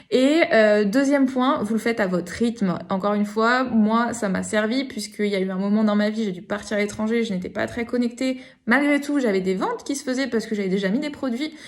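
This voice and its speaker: A woman talks at a fairly quick pace with hardly any pauses. Her pitch varies in an ordinary way. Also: fairly high pitch for a woman. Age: 30s. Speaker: online course student. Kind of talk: testimony. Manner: hesitant, many fillers.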